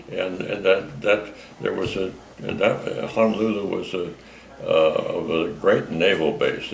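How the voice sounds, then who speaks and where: Noticeable noise runs behind the recording. The man's delivery is fairly slow. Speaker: WWII Navy veteran. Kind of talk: interview answer. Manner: hesitant, halting, repeating words.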